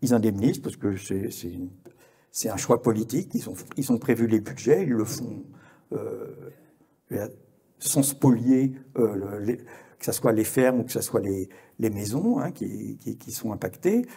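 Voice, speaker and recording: A man with a medium-pitched, somewhat breathy voice and a dark, mellow tone speaks at a fairly slow pace, with big swings in loudness and long, frequent pauses. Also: ordinary pitch variation. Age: 70s. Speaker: journalist and conference speaker. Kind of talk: conference talk. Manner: halting, many hesitations and repetitions.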